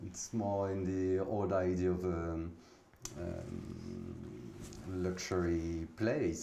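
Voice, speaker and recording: A man's very deep, low voice in a French accent, with audible room echo. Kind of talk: interview. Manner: halting.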